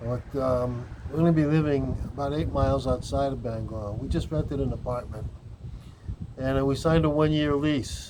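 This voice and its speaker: This man's voice comes with noticeable background noise and an audible echo off the room. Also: moderate pace. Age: 60s. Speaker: cannabis vlogger. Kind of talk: casual vlog monologue.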